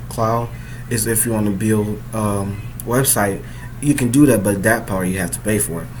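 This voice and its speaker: Amid noticeable background noise and audible room echo, a man talks fairly slowly at a medium pitch with fairly even intonation. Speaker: coding tutorial youtuber. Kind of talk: tutorial. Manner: casual, filler-heavy.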